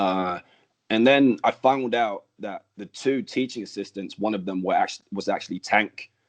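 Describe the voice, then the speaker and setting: A man with a Birmingham accent speaks at a medium pitch with ordinary pitch variation. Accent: English, from growing up in Birmingham. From Denmark and Birmingham, England. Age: 20s. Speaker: professional wrestler. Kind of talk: interview. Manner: casual, many fillers like um and like.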